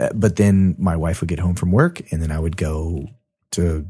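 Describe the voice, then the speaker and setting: Very deep and low, a man's dark, mellow, somewhat breathy voice moves at a fairly slow pace with fairly even intonation, recorded very cleanly against a silent background. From US, moved around. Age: 40s. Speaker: podcast guest, father. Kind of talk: casual chat. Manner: halting.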